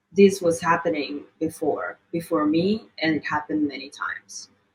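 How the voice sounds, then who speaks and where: Her intonation is lively. The woman talks at a fairly slow pace. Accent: Italian. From Italy. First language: Italian. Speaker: model and activist. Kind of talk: interview.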